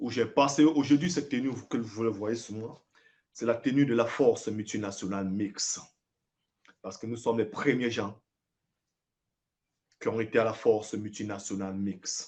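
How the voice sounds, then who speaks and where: The pace is moderate, with long pauses that come often. Pitch varies in an ordinary way. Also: man, medium pitch for a man. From Cameroon. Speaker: former soldier. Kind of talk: live video address. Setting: livestream. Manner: emphatic.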